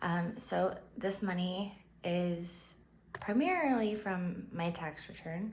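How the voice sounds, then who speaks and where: A woman with a medium pitch speaks at a very slow pace. There is audible room echo. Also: ordinary pitch variation. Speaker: budgeting vlogger. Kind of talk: casual vlog tutorial. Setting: home, early morning. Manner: upbeat, cheerful; hesitant, many fillers.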